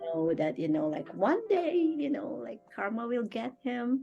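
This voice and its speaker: This woman's voice sits fairly high in pitch. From Philippines. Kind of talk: interview answer. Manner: outspoken, joyous.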